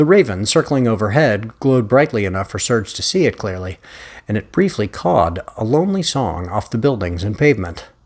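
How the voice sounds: Lively intonation in a natural reading voice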